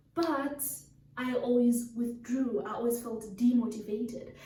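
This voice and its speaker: A quiet woman's high voice, dark and mellow in tone, at a fairly slow pace with ordinary pitch variation and audible room echo. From Africa. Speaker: talk show host. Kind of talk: monologue story time. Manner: quiet, calm.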